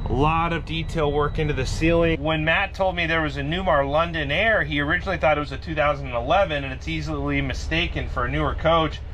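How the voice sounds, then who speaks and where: A man talks at a fairly quick clip over light background noise. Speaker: RV YouTuber. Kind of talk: casual walkthrough video. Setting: outdoors then inside an RV. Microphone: phone near.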